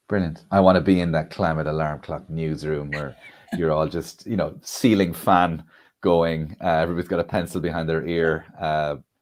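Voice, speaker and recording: A man with an Irish accent speaks at a moderate pace. His voice is very deep and low, with fairly even intonation. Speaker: comedian and event MC. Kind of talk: live stream launch event hosting. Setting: live stream.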